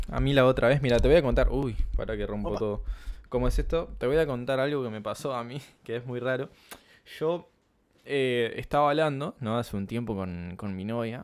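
A man speaks in a Uruguayan accent. His pitch is medium and his pace moderate. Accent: Rioplatense Spanish (Uruguayan). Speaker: podcast co-host. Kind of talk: casual chat. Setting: home.

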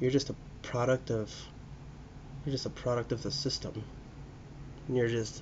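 At a moderate pace, a man with a medium-pitched, somewhat breathy voice speaks in a flat monotone, leaving long, frequent pauses. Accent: American. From US Pacific Northwest (Spokane, Washington). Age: 30s. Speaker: podcast host, restaurant worker. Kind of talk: solo casual monologue. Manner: rambling, halting with fillers.

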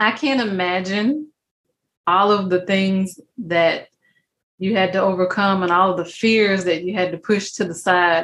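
A woman's fairly low voice, fairly even in intonation, at a fairly slow pace. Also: fairly bright tone.

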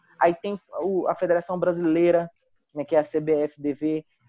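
Against a quiet background, a man with a high pitch and a dark, mellow tone speaks at a fairly slow pace, the sound dry and close with no echo. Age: 20s. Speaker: esports player. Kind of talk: casual chat.

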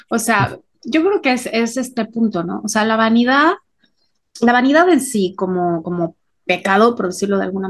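A woman with a Mexican accent speaks at a moderate pace in a fairly high pitch. Her voice is somewhat breathy, with lively intonation. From Mexico. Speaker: podcast co-host. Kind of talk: casual chat.

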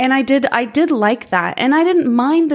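A woman speaks at a fairly slow pace, high-pitched and energetic, with ordinary pitch variation. The recording is very clean, with a silent background. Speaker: movie podcast co-host. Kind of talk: casual chat.

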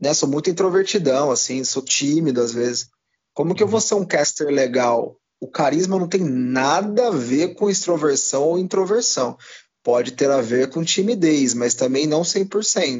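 A man talks in an ordinary speaking voice at a fairly slow pace with lively intonation. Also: fairly high pitch for a man. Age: 20s. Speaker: esports caster. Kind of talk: casual interview chat.

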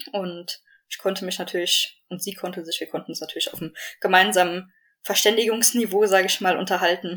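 Delivered at a fairly quick pace, the speech stays monotone and flat. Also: woman, medium pitch for a woman. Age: 20s. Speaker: endurance rider, horse owner. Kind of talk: casual interview.

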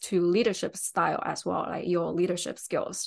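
With a Chinese accent, a woman speaks at a moderate pace in a monotone, flat intonation. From China. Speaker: UX designer. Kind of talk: interview.

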